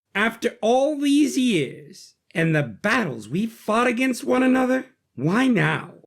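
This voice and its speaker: Man's put-on character voice at an extremely high pitch, fairly slow pace. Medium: read story.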